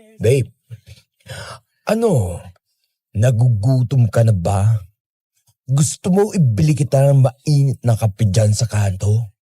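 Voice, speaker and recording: A man's strained, put-on character voice at medium pitch, fairly slow, with long, frequent pauses. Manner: trying to sound tough.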